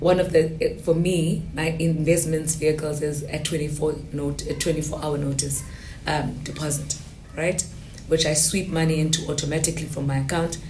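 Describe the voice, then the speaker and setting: A woman with a very deep, low pitch and monotone, flat intonation at a moderate pace, amid audible room echo and noticeable background noise. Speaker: guest on a personal finance podcast. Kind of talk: casual interview chat.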